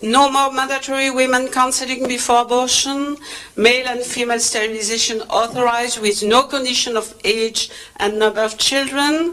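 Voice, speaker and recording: High-pitched woman's voice in fairly even intonation, with noticeable background noise. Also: moderate pace. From France. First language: French. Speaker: reproductive health trainer. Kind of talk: conference presentation. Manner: hesitant, many fillers.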